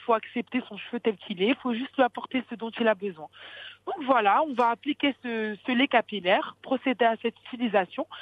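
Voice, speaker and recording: The delivery moves at a moderate pace with big swings in loudness. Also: woman. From France, Paris region. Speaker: beauty entrepreneur. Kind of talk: interview. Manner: halting.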